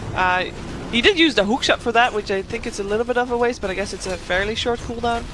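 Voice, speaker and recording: Very fast speech over noticeable background noise. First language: not English. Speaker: esports commentator. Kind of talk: live commentary.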